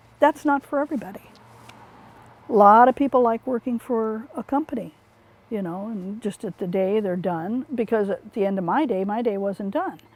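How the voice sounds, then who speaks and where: Over noticeable background noise, a woman talks at a fairly quick pace with a fairly high pitch and lively intonation. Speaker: remodeling contractor. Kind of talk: interview answer. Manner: casual, hesitant.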